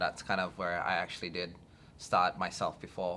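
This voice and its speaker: This man speaks with an Australian accent. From Australia, arrived from Indonesia at ten. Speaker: filmmaker. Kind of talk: interview. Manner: halting, many fillers.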